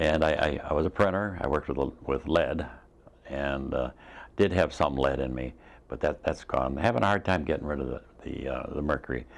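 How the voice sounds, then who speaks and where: In a very deep, low voice with vocal fry, a man speaks at a fairly quick pace with ordinary pitch variation. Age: 70s. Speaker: patient giving testimonial. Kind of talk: testimony. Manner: halting, many fillers and restarts.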